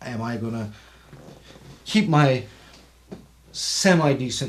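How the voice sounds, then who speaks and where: Noticeable background noise and audible room echo surround a man speaking at medium pitch. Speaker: podcast co-host discussing the Bible; Marine veteran. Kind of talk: casual Bible study discussion.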